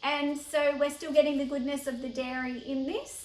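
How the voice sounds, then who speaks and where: Speaking at a fairly quick pace with an Australian accent, a woman keeps her high voice monotone and flat. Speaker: cooking educator. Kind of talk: tutorial. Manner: casual, chatty.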